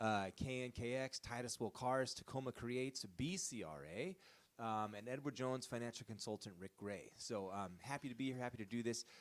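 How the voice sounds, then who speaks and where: This is a man with an unremarkable speaking voice at medium pitch. He talks at a fairly quick pace with ordinary pitch variation. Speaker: interviewer, band leader. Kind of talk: live stream interview host.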